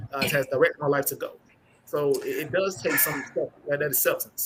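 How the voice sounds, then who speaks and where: A man moves along at a fairly quick pace while noticeable background noise is present. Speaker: panelist. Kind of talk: live-stream panel discussion.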